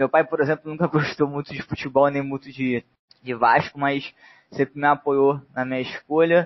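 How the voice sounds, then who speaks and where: A man talks at a moderate pace in a fairly high voice. His delivery is a flat monotone. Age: 20s. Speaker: football fan commentator. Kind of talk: casual chat.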